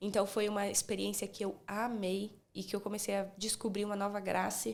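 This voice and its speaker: In a very clean recording with a silent background, a woman with a slight Minas Gerais accent talks at a moderate pace in a medium pitch, her intonation monotone and flat. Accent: slight Minas Gerais Brazilian Portuguese. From Brazil, Espírito Santo. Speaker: speech therapist. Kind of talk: casual interview chat.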